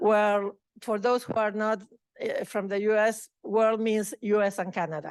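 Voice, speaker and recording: A woman with a Spanish accent speaks in a fairly high pitch. Her intonation stays fairly even. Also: fairly slow pace. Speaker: award recipient, researcher. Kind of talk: acceptance speech. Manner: halting.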